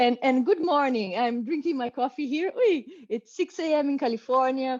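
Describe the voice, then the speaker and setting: A woman's dark, mellow tone with a Brazilian accent and ordinary pitch variation, in a dry, close sound without echo. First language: Portuguese. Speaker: professor, quantum engineer. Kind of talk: interview talk.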